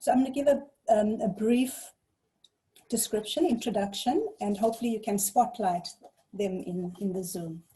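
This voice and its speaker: A woman's somewhat breathy, dark, mellow tone at a fairly high pitch, with lively intonation, a moderate pace and long, frequent pauses. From South Africa, KwaZulu-Natal North Coast. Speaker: webinar facilitator. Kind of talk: moderated panel introduction. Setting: video call.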